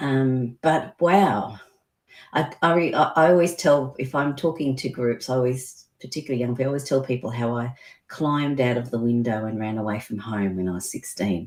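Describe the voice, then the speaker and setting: A woman talks with a very deep, low voice. Her pace is moderate and her intonation lively. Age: 60s. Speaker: business owner and health consultant. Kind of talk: interview.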